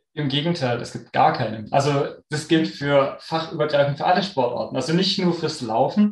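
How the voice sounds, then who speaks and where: Using an ordinary speaking voice, a man talks at a moderate pace with a fairly high pitch, ordinary pitch variation and hardly any pauses. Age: 30s. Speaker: sports scientist and runner. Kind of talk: podcast interview.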